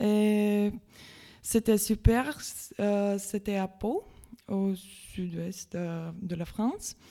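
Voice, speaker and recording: A woman of medium pitch speaks at a very slow pace in a Latvian accent. Her tone is dark and mellow, with fairly even intonation. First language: Latvian (speaking French). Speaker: volunteer. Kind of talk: radio interview. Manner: halting.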